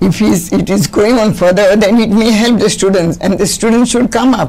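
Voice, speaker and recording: A woman with a medium pitch and ordinary pitch variation speaks at a moderate pace with very even loudness, over noticeable background noise. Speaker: retired sports teacher and volleyball coach. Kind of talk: interview. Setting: studio.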